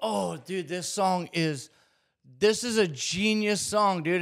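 High-pitched, a man talks with ordinary pitch variation over a quiet background. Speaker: music reaction creator. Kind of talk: casual reaction commentary. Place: studio. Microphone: studio mic.

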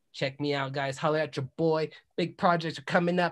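Against a quiet background, a man speaks at a fairly quick pace with an energetic, animated tone and ordinary pitch variation. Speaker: podcast host and musician; podcast host. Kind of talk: casual podcast chat; self promotion. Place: home room. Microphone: video call.

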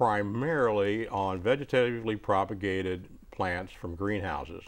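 A man talks at a moderate pace in an unremarkable speaking voice, pitched fairly low. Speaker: retired plant pathology professor. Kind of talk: call-in gardening show. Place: studio. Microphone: lapel.

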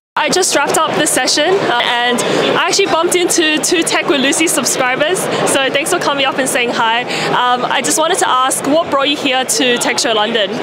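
Loud background noise fills the clip while the talking runs at a fairly quick pace. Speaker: tech video creator interviewing attendees. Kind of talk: casual vlog chat and interview questions. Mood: cheerful, upbeat. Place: hall. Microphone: handheld.

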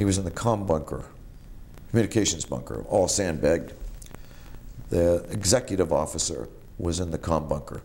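A man with a very deep, low pitch, a dark, mellow tone and vocal fry, in an American accent, with lively intonation at a moderate pace and long, frequent pauses. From Massachusetts North Shore (Marblehead); Massachusetts. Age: 50s. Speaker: war veteran. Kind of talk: oral history interview. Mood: calm, reflective. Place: home room. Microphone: lapel.

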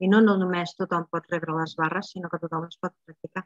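In a dry sound with no echo and a quiet background, a woman speaks at a fairly low pitch with monotone, flat intonation. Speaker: Access Bars facilitator. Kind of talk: online group talk. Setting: video call. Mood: warm, calm. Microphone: earbuds.

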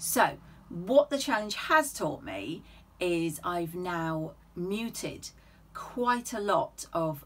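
The woman's pitch swings very widely as she speaks. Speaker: sewing vlogger. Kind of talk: casual vlog chat. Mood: cheerful, self-mocking. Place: home room.

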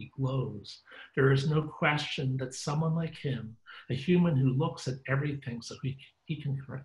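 The intonation is fairly even. It is plain reading aloud.

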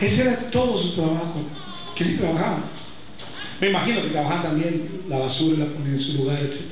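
A man with a fairly high voice talks at a fairly quick pace with lively intonation. Strong room echo and light background noise are present. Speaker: pastor. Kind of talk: sermon. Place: church.

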